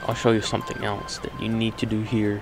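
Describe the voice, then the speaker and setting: Music plays in the background. A man is speaking. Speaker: game developer. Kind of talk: software tutorial narration. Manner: heavy breathing.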